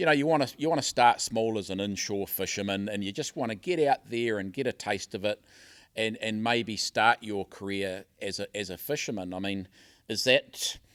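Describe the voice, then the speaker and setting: Fairly low-pitched man with a New Zealand accent, moderate pace and ordinary pitch variation, on a very clean recording with a silent background. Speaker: podcast host and fisherman. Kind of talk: interview. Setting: hotel conference venue. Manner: halting.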